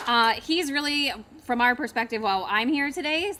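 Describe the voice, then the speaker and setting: A loud woman's voice, bright and sharp in tone, at a fairly quick pace. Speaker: economic development agency representative. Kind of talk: public speech at ceremony.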